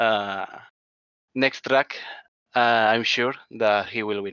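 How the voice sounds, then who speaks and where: A man with a Spanish accent speaks at medium pitch with fairly even intonation. The sound is dry and close with no echo, and the background is quiet. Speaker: sim racing driver. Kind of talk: post-race interview. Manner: halting.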